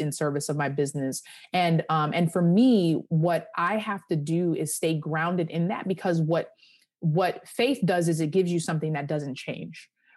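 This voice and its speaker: A woman with an American accent speaks in an unremarkable speaking voice at a fairly low pitch and a moderate pace. Her pitch varies in an ordinary way over a quiet background. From Long Island, New York. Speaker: lawyer and career coach. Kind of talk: interview.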